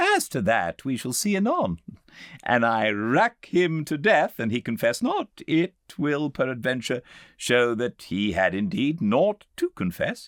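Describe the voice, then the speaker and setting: Speaking very slowly at a medium pitch, a man lets his voice swing very widely in pitch on a very clean recording with a silent background. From England. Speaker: actor and audiobook narrator. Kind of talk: audiobook reading of classic literature. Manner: calm, measured.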